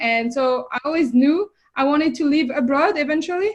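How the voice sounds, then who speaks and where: A woman with a French accent speaks in a high pitch with ordinary pitch variation. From France. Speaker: fitness coach and entrepreneur. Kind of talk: interview podcast.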